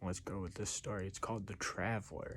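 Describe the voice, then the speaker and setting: A man speaks softly. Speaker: storyteller. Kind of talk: reading aloud; casual chat. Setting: late at night. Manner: soft-spoken.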